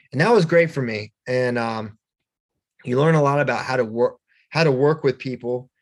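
In a normal speaking voice, a man with a medium pitch talks at a moderate pace. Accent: American. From Virginia, Shenandoah Valley. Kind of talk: casual interview.

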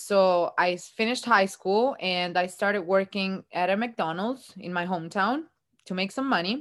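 A woman with an Italian accent, ordinary pitch variation, and a quiet background. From Italy, Ancona. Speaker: tour guide and entrepreneur. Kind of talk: interview.

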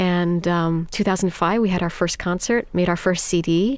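A woman's medium-pitched voice with ordinary pitch variation and an American accent, a plain, everyday voice. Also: very clean recording, silent background. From New York City. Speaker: singer of Iranian folk songs. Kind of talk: interview.

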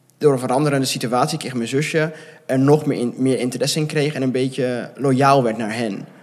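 A man with an unremarkable speaking voice talks at a moderate pace, his medium pitch carried by fairly even intonation. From Netherlands, near Gouda. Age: 20s. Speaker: adoptee sharing his story. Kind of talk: interview.

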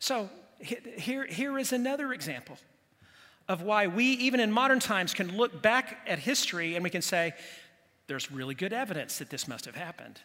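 A man uses a raised, projected voice with a bright, sharp tone and high pitch. He talks at a fairly quick pace with very wide pitch swings. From grew up in the local community (Bethany). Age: 60s. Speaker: pastor. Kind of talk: sermon. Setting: church with congregation.

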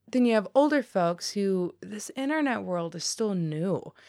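Using a General American accent, a woman speaks at a fairly slow pace with very wide pitch swings, on a very clean recording with a silent background. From US West (Colorado). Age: 20s. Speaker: journalist. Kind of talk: interview. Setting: studio. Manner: subdued.

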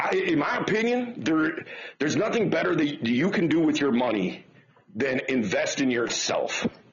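A man with an American accent at a fairly slow pace, over noticeable background noise. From Detroit, Michigan. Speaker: dating and life coach. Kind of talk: interview.

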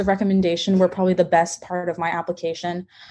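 The speech is very fast and somewhat breathy, with an American accent. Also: woman. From Texas. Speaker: college student. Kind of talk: interview. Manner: hesitant, many fillers.

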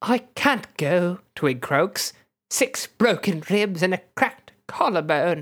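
A natural voice reads aloud, and the background is quiet.

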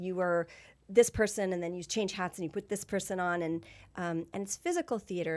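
This woman has an unremarkable speaking voice, a medium pitch, and ordinary pitch variation at a moderate pace. The recording is very clean, with a silent background. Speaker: actress and dancer. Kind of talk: casual interview chat. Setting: studio.

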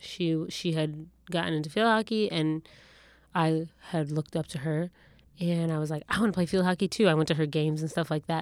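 In a very clean recording with a silent background, a woman with a normal speaking voice, fairly low pitch and fairly even intonation speaks at a fairly quick pace. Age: 30s. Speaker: podcast co-host. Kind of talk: casual chat.

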